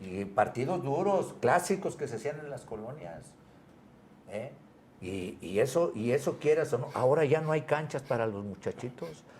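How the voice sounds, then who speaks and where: Speaking at a moderate pace, a man with medium pitch and vocal fry shows very wide pitch swings and big swings in loudness. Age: 70s. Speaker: retired footballer. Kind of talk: interview. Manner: animated.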